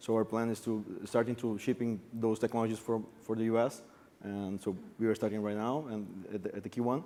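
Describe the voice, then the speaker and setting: Speaking fairly quickly with a Brazilian accent, a man uses a dark, mellow tone at medium pitch with monotone, flat intonation. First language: Portuguese. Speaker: bitcoin mining entrepreneur. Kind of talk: panel discussion.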